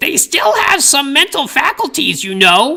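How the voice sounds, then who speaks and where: A put-on character voice that sounds female is high in pitch and swings very widely in pitch. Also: moderate pace. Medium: read story. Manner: condescending, preachy.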